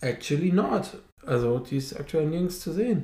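With lively intonation and a dark, mellow, somewhat breathy tone, a man talks at a moderate pace. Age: 30s. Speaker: podcast co-host. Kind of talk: casual chat.

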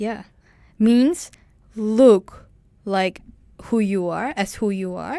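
Speaking very slowly with long, frequent pauses, a woman with a Turkish accent uses a fairly high pitch, a dark, mellow tone and ordinary pitch variation, on a very clean recording with a silent background. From Turkey. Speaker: university student. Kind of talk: casual chat. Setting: studio. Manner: halting.

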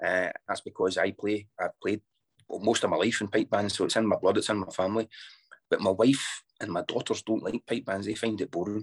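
A man with a Scottish accent at a fairly quick pace, in a dry, close sound with no echo and a quiet background. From Scotland. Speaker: bagpipe band founder and piper. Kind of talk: interview.

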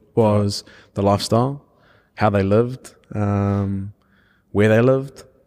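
Dark, mellow tone from a man, fairly slow and fairly even, with long, frequent pauses, in a very clean recording with a silent background. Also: fairly low pitch for a man. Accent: New Zealand. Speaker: rugby player. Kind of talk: casual chat.

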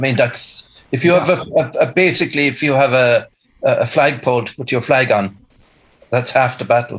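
A somewhat breathy man with a Kerry accent. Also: medium pitch for a man, ordinary pitch variation, fairly quick pace. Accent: Kerry Irish. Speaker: musician. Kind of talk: casual chat. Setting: video call.

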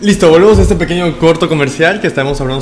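Noticeable background noise beneath speech with ordinary pitch variation. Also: man. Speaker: podcast host. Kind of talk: casual interview.

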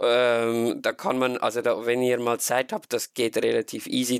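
Speaking with a Swiss accent at a fairly slow pace, the voice has a dry, close sound with no echo. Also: man. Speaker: fan podcast host. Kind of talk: casual chat.

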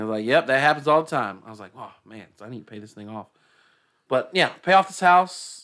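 In a very clean recording with a silent background, a man with an American accent speaks fairly quickly in a bright, sharp tone, his pitch swinging very widely and his loudness swinging a lot. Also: medium pitch for a man. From Decatur, Georgia.

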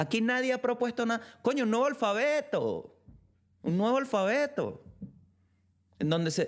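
A man with a Venezuelan accent speaks at an extremely high pitch in an animated tone, at a moderate pace with long, frequent pauses. His pitch varies an ordinary amount, his loudness stays very even, and the recording is very clean with a silent background. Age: 20s. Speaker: podcaster. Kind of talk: casual solo monologue.

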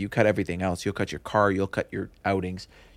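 Very fast speech in a Montreal accent. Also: man. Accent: Montreal anglophone Canadian English. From Montreal West Island, Quebec. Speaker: real estate broker. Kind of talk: interview.

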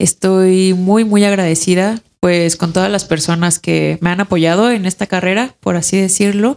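Hardly pausing, a woman with a Mexican accent talks at a moderate pace with fairly even intonation, in a dry, close sound with no echo. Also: medium pitch for a woman. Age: 30s. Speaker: ceramic artist. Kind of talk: casual chat. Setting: home studio.

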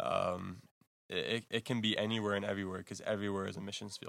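With a Texas accent, a man speaks in a fairly low pitch and fairly even intonation, recorded very cleanly against a silent background. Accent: American, Texas. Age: 20s. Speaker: missionary. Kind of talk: interview. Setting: missionary base in Zambia.

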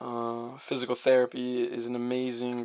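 Flat, monotone intonation from a man at a medium pitch. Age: 20s. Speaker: physical therapist and podcast host. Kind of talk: solo podcast introduction.

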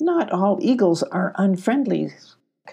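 Against a quiet background comes plain reading aloud.

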